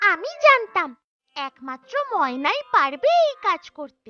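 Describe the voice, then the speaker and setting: An extremely high, cartoonish character voice moves along at a moderate pace. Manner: cheerful, sing-song.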